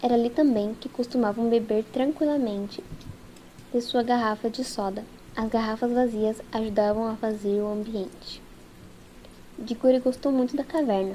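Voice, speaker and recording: A woman with a dark, mellow tone and a fairly high pitch speaks at a moderate pace in a fairly even intonation, leaving long, frequent pauses. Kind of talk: ASMR audiobook reading with rain sounds. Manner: soft-spoken, soothing, relaxing.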